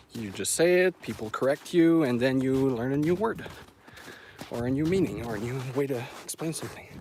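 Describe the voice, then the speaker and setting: Lively intonation runs through the speech. Behind it sits noticeable background noise. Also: man, medium pitch for a man. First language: French. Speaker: dog owner live streamer. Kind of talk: casual live stream chat. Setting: outdoors, forest hike. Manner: halting, stumbles over words.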